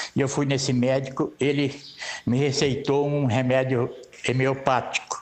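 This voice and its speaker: A man's fairly slow, monotone, flat delivery at very even loudness. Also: medium pitch for a man. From São Paulo state, Brazil. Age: 70s. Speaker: radio listener. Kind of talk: testimony.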